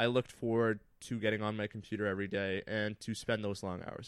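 A man with a Canadian accent has an ordinary speaking voice at a medium pitch and fairly even intonation. He moves at a fairly quick pace on a very clean recording with a silent background. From Northern Ontario, Canada (Thunder Bay). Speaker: graphic designer and content creator. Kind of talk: casual chat.

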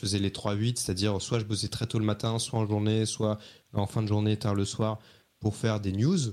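Heard in a very clean recording with a silent background, a man with an ordinary speaking voice and a fairly low pitch talks at a moderate pace. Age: 30s. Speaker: journalist. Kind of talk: interview.

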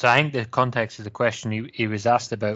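A man is speaking. He has a Scottish accent. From Wales. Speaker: football fan panelist.

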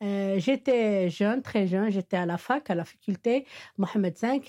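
A woman speaks with an Arabic accent at a fairly slow pace. Her voice sits at a medium pitch with a dark, mellow tone. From Morocco, Meknès. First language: Arabic (speaking French). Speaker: Arabic teacher. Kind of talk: interview testimony. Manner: halting, many hesitations.

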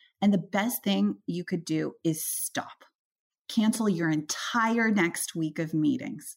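A woman speaks at a fairly slow pace with a medium pitch and lively intonation. Her voice is somewhat breathy. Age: 30s. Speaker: venture capitalist. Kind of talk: interview.

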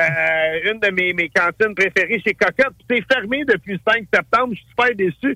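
A man speaks in a raised, projected voice with a bright, sharp tone and high pitch. His pace is moderate. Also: dry, close sound with no echo. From Montreal. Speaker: chef and TV host. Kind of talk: casual chat.

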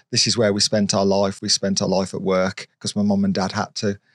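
A man with a British accent is heard with a dry, close sound with no echo. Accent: British regional, local to the area. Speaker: YouTuber and car stunt driver. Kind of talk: casual interview chat.

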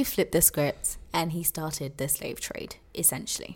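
Here a woman speaks with a London accent. She keeps a moderate pace. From England. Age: 20s. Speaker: podcast co-host. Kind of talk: casual chat.

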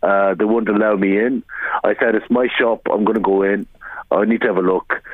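With an Irish accent and a fairly low pitch, a man talks at a fairly quick pace in a monotone, flat intonation at very even loudness, with noticeable background noise behind him. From Ireland. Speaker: small business owner. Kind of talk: radio interview. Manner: halting.

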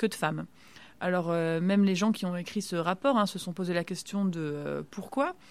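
A woman speaks in a normal speaking voice. Her pace is moderate. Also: fairly low pitch for a woman, ordinary pitch variation. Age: 30s. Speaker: medical resident and stem cell researcher. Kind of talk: casual interview.

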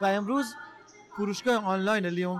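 A man at a high pitch with lively intonation and a fairly quick pace, over noticeable background noise. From Iran, Gilan (Rasht). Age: 40s. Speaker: entrepreneur. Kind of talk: interview. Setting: trade fair booth.

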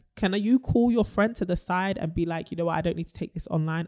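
The woman talks at a very fast pace with ordinary pitch variation. The recording is very clean, the background silent. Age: 20s. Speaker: podcast co-host. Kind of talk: casual chat. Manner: animated.

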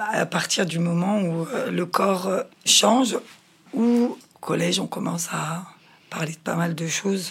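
Against noticeable background noise, a woman with a fairly low pitch speaks at a very slow pace, with ordinary pitch variation and long, frequent pauses. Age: 40s. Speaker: mother of teenagers. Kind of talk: consultation interview.

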